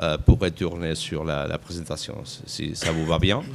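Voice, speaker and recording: At a fairly slow pace, a man speaks in a Catalan accent. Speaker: conference moderator. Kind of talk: conference panel moderation. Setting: conference stage with audience. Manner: halting, many hesitations.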